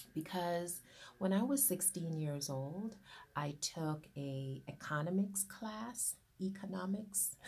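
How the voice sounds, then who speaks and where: A woman's somewhat breathy voice, fairly low in pitch, with lively intonation and a very slow pace. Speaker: business owner, grant consultant. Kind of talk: informal talk to camera. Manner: hesitant, with fillers.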